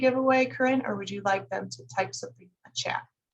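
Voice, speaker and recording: A woman's voice sounds somewhat breathy. Her intonation is lively. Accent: slight Chicago. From US Midwest, Northwest Indiana near Chicago. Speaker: livestream host. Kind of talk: casual livestream chat. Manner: animated.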